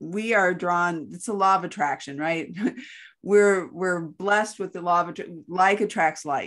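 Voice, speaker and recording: A woman talks at a fairly slow pace in a normal speaking voice, fairly low in pitch with fairly even intonation. Her loudness swings widely against a quiet background. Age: 60s. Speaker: podcast co-host. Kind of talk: casual chat.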